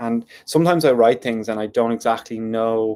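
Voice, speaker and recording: With a South Dublin accent, a man of medium pitch speaks at a moderate pace. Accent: South Dublin (D4) Irish. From Ireland, South Dublin. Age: 30s. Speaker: poet and YouTuber. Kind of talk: casual monologue on a live stream. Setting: live YouTube stream.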